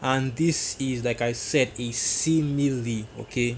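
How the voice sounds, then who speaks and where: The man's voice sits at a medium pitch. It stays monotone and flat throughout. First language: not English. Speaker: religious teacher. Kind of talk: religious teaching video. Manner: halting.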